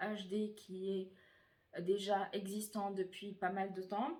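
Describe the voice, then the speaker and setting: A woman speaks at a very slow pace. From Tunisian heritage, France. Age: 20s. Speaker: beauty YouTuber. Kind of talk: casual talk to camera.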